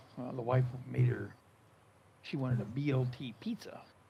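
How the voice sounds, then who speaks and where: Speaking at a moderate pace, a man's medium-pitched voice comes across as somewhat breathy. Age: 70s. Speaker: gaming streamer and farmer. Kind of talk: casual chat. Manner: animated.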